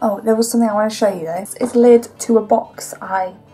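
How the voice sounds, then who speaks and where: Faint music plays behind a woman speaking. Her pitch sits fairly high. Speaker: vlogger. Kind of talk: casual talk to camera. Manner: quiet, soft-spoken. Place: garage. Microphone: webcam.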